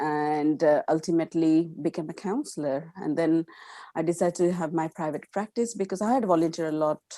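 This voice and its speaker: A woman with an Indian accent talks at a fairly quick pace, with a fairly low pitch and a dark, mellow tone. The very clean recording has a silent background and a dry, close sound with no echo. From India, Gujarat. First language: Gujarati. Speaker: counselor. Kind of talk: interview. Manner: halting, many fillers.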